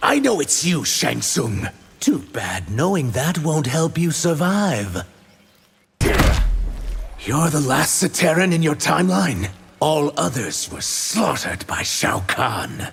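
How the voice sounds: Using a cartoonish character voice, a man speaks at a fairly slow pace, his fairly high pitch making very wide swings.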